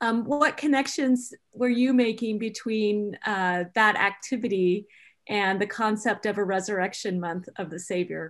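Here is an unremarkable speaking voice. The pace is moderate. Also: woman. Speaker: board member asking questions. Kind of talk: Q&A moderating. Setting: video call.

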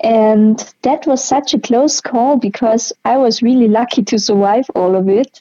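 In a German accent, a woman speaks at a fairly slow pace, her dark, mellow tone captured in a dry, close sound with no echo. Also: fairly high pitch for a woman, ordinary pitch variation. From Austria. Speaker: patient sharing her illness story. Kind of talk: interview.

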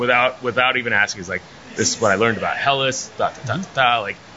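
Over noticeable background noise, a man with an American accent talks at a fairly quick pace and a medium pitch. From northern Virginia, outside D.C. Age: 30s. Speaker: brewery owner. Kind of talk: interview. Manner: hesitant, many fillers.

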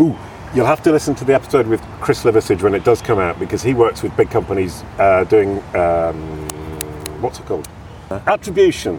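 Amid noticeable background noise, a man with an English accent speaks at a fairly quick pace with very wide pitch swings. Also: fairly low pitch for a man. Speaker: podcast host. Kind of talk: casual interview. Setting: outdoors in a park.

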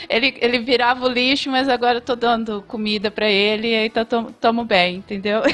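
A woman's fairly high, fairly quick voice with fairly even intonation and hardly any pauses. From Ribeirão Preto, São Paulo interior. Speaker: veterinarian. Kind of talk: casual chat.

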